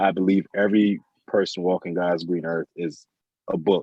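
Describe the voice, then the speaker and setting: A man does the talking. His accent is American. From Jamaica, Port Antonio. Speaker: interviewee sharing life story. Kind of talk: casual interview. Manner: halting, with repetitions.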